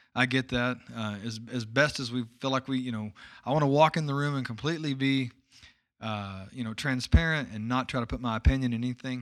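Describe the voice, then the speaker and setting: A man with a Texan accent at a fairly quick pace, fairly even in intonation. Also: medium pitch for a man. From East Texas, small town. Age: middle-aged. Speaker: podcast host. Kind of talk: casual chat.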